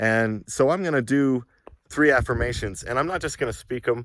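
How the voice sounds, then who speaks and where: A man is heard on a very clean recording with a silent background. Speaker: self-help vlogger. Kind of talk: casual monologue vlog. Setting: outdoors. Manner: hesitant, many fillers; yelling affirmations, intense.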